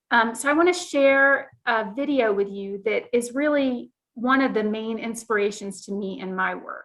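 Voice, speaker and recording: A woman with an American accent speaks at a moderate pace, her fairly high voice rising and falling in a lively way. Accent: Southern, coming back while talking. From US South, South Carolina. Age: 50s. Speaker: librarian. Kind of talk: presentation.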